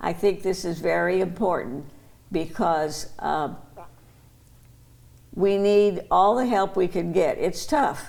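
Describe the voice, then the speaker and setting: Pausing long and often, a woman with vocal fry speaks at a very slow pace and medium pitch, with ordinary pitch variation. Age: 80s+. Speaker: longtime association member. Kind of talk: interview answer.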